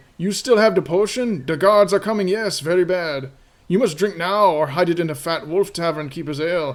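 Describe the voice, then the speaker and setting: A wheezy, high-pitched put-on character voice from a man at a fairly quick pace. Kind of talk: broken speech, drops words. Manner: frantic, conspiratorial.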